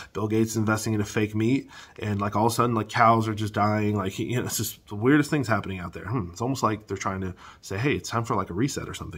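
A man's somewhat breathy, fairly low voice at a very fast pace with fairly even intonation. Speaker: housing market commentator. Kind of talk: casual vlog commentary. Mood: agitated, opinionated. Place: home room. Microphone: phone near.

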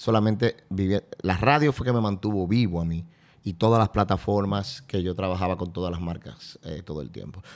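Here a man speaks with a very deep, low pitch. His pace is moderate and his pitch varies in an ordinary way. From Dominican Republic. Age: 40s. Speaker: event host and radio presenter; event host, radio presenter. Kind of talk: casual chat. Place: studio. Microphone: studio mic.

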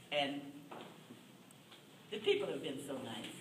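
Through audible room echo and light background noise, a woman speaks at a very deep, low pitch. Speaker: school crossing guard. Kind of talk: short acceptance speech. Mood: grateful, warm, honored. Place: meeting room. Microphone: camera far.

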